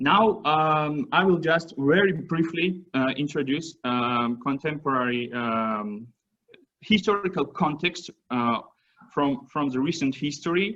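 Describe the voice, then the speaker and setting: With a Georgian accent, a man speaks at a fairly slow pace and a fairly high pitch. His tone is bright and sharp, with lively intonation. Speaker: visiting researcher. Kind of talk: academic presentation. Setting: seminar talk. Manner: halting, many fillers and restarts.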